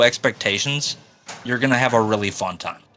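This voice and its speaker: A man talks at a fairly quick pace. There is music in the background. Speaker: pinball streamer. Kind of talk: casual chat. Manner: loud.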